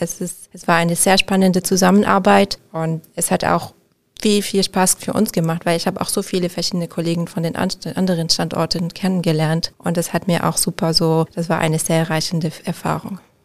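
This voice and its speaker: A woman uses a normal speaking voice with a fairly low pitch. She keeps a moderate pace and fairly even intonation. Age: 30s. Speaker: interior architect. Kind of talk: interview. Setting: studio.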